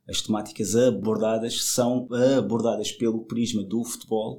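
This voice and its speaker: The voice belongs to a man. It is medium in pitch. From Madeira, Portugal. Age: 30s. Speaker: film festival organizer. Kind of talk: casual interview. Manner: halting, many repetitions.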